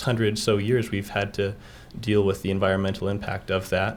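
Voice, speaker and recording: The speaker has a Utah accent. The pace is moderate. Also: man. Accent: Utah American. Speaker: college student, public commenter. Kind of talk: public comment.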